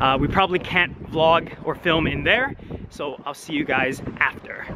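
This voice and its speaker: A man at a moderate pace with ordinary pitch variation, amid noticeable background noise. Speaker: vlogger. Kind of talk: casual vlog chat. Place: street. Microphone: phone near.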